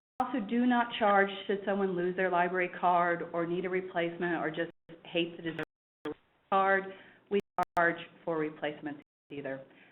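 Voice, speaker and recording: Long, frequent pauses break up the speech of a woman with a Kansas accent, whose fairly low voice shows ordinary pitch variation. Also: moderate pace. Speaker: library staff member. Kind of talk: webinar presentation. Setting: online webinar.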